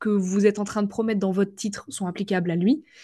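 Against a quiet background, a woman speaks at a fairly quick pace. Her tone is dark and mellow, and somewhat breathy. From western France, Vendée. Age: 20s. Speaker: LinkedIn marketing coach. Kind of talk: casual interview chat.

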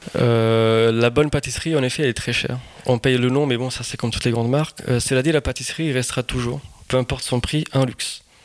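A man at a medium pitch, with a fairly quick pace and fairly even intonation. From Portugal (Lisbon). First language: Portuguese (speaking French). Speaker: pastry chef. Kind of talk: interview.

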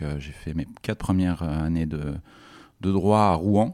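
At a fairly slow pace, a man talks in a very deep, low voice with ordinary pitch variation. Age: 40s. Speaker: executive of a large nonprofit group. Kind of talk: interview conversation. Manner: halting, many repetitions and fillers.

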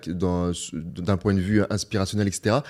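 A fairly low-pitched male voice on a very clean recording with a silent background. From northern France (Beauvais). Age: 30s. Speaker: e-commerce entrepreneur. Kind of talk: casual interview. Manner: halting, many repetitions.

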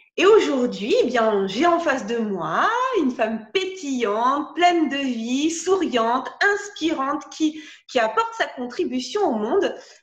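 This woman's high voice moves in very wide pitch swings at a very slow pace. Audible room echo surrounds her. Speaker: podcast host. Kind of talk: interview.

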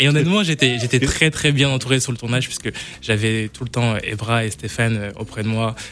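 Speaking at a moderate pace, a man with a medium pitch uses ordinary pitch variation. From Brittany, France. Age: 20s. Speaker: actor. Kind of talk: radio interview. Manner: halting.

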